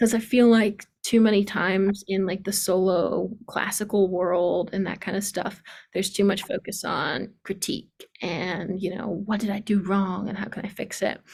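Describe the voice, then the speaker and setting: A woman's medium-pitched, somewhat breathy voice with an American accent, monotone, flat intonation, hardly any pauses, and a moderate pace. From US East Coast. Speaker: piano teacher. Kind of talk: online workshop.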